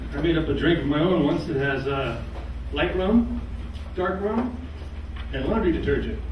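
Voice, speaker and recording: A man speaks at a moderate pace, with audible room echo and noticeable background noise. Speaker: stand-up comedian. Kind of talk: stand-up comedy set of one-liners. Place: stage.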